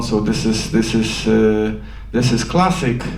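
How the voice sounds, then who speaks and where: A man speaks at a fairly slow pace with a Polish accent. Noticeable background noise and audible room echo surround his voice. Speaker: film director. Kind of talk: post-screening Q&A. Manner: halting.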